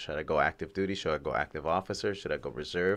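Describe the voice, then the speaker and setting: The speaker has an American accent and talks at a fairly quick pace. The background is quiet. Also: man. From California. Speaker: navy reservist. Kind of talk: interview. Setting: studio. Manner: halting, many fillers.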